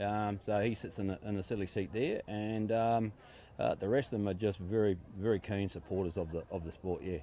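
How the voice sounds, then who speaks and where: A man with a New Zealand accent talks at a fairly quick pace, his dark, mellow tone fairly low in pitch and fairly even in intonation. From New Zealand, Wanganui. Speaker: boat racing driver. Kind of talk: interview. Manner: casual.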